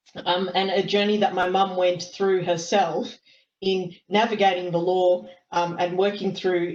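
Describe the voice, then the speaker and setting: A woman with an Australian accent, monotone and flat in intonation. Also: very even loudness. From Australia, Melbourne. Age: 30s. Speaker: lawyer. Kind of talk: talk to youth sports team on webinar. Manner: hesitant, many fillers.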